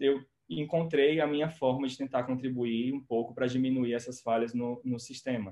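A man with a medium-pitched voice talks rather slowly, his pitch shifting in a normal way. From Brazil, Ceará (Quixeramobim). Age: 20s. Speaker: pharmacist and doctoral researcher. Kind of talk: interview.

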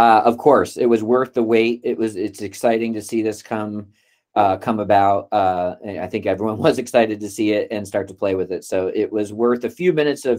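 An ordinary speaking voice, delivered at a moderate pace. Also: man. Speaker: community call host. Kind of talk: meeting facilitation. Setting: video call.

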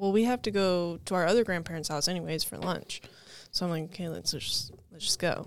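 A woman with a plain, everyday voice, fairly low in pitch, with ordinary pitch variation and a fairly quick pace. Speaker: summer ministry intern. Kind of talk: casual podcast chat. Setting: studio.

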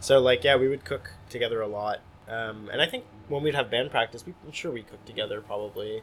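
Here a man with an American accent and an ordinary speaking voice talks at a moderate pace and medium pitch. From US Northeast (North Jersey). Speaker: touring musician. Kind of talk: casual interview chat. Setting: music venue.

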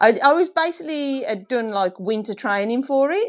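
Against a quiet background, a woman with a northern English accent speaks at a moderate pace with very wide pitch swings. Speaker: professional triathlete. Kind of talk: casual interview chat.

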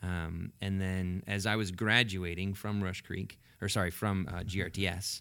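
Monotone, flat intonation with an American accent in a very clean recording over a silent background. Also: man. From central Washington State, US. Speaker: pastor of a large church. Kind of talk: casual chat.

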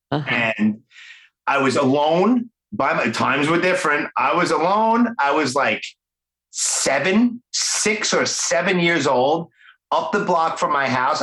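Speech with lively intonation, a strong Brooklyn accent and very even loudness. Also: man. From Brooklyn, New York. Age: 40s. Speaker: podcast host. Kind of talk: casual interview. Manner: animated.

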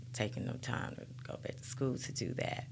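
With an Alabama accent and vocal fry, a woman speaks at a moderate pace in a very deep, low pitch. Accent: US Southern, Alabama. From Birmingham, Alabama. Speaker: guest. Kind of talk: casual interview chat.

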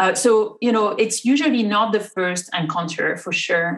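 French accent at a moderate pace. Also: woman. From France. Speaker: rheumatologist. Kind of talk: interview. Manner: halting.

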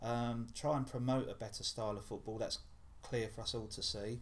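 A man talks in a somewhat breathy voice. Room echo is audible around him. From Essex, Clacton. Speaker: football fan and columnist. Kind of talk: casual sports chat.

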